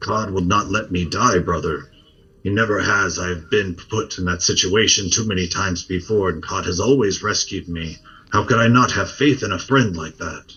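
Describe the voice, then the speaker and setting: Putting on a character voice, a man speaks at a fairly low pitch with ordinary pitch variation. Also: moderate pace. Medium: actual play. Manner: earnest, intense.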